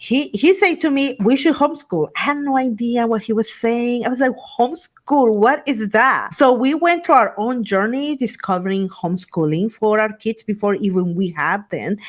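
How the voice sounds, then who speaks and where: A woman's fairly high voice with a Spanish accent, lively intonation and a moderate pace, with hardly any pauses. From Guatemala. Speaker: Spanish program founder and homeschool parent. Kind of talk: interview.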